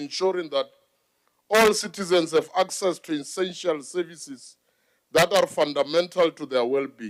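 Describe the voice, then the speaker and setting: Speaking at a moderate pace, a man with a high pitch shows ordinary pitch variation. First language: not English. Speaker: provincial legislator. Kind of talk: parliamentary debate speech. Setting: legislature chamber. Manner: combative.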